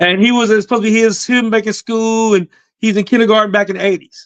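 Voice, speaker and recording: An animated, high-pitched man's voice in a dry, close sound with no echo. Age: 50s. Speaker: comedian and actor. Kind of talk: casual panel chat.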